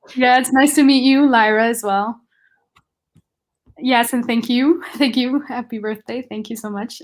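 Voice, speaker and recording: At a high pitch, a woman speaks with a non-native accent and fairly even intonation. Her pace is fairly slow, with long, frequent pauses. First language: not English. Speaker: book reader guest. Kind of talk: casual chat.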